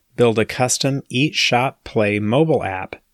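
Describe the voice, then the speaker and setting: On a very clean recording with a silent background, a man with a normal speaking voice talks at a fairly slow pace with ordinary pitch variation. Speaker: podcast host. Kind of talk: scripted intro and interview.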